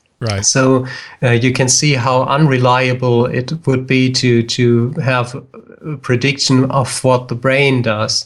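Speaking very slowly in a German accent, a man keeps a flat, monotone delivery at medium pitch. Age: 30s. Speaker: psychologist. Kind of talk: casual chat. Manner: halting.

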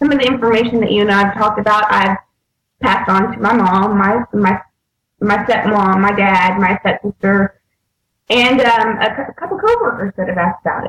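A woman with an American accent and a normal speaking voice talks at a moderate pace with ordinary pitch variation. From US North. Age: 30s. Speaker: diet program participant. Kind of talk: casual chat.

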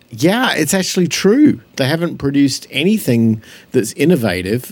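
With an Australian accent and lively intonation, a man speaks on a very clean recording with a silent background. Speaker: podcast co-host. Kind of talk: casual chat.

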